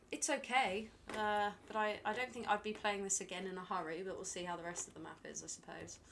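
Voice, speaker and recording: A woman with a British accent at a medium pitch, a fairly quick pace, ordinary pitch variation and big swings in loudness. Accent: very British. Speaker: video game streamer. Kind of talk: casual live-stream commentary. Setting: live stream. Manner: chatty, hesitant with fillers.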